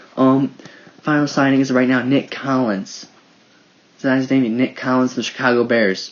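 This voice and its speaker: A man speaks at a moderate pace and medium pitch, with long, frequent pauses. His loudness is very even, his intonation fairly even, and background noise is noticeable. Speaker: sports podcast host. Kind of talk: casual sports commentary podcast.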